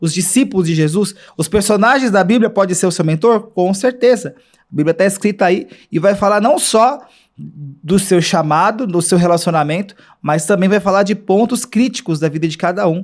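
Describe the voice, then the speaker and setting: On a very clean recording with a silent background, a man talks at a high pitch and moderate pace with ordinary pitch variation. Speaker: church podcast host and Bible study leader. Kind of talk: casual Bible study talk. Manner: halting, many repetitions and fillers.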